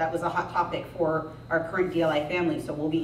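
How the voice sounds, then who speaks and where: A fairly low-pitched woman at a fairly quick pace, with audible room echo and noticeable background noise. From US, local school district. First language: Spanish. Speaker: school principal. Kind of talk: speech to parents at school meeting. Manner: casual, conversational.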